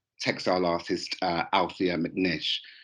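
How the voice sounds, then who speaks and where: Speaking at a fairly slow pace with a Birmingham accent, a man is heard against a quiet background. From England, Birmingham. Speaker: fashion lecturer. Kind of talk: conference presentation. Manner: hesitant with frequent fillers.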